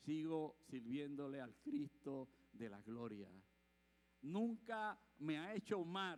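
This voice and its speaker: An animated male voice with very wide pitch swings. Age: 60s. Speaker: preacher. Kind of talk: sermon.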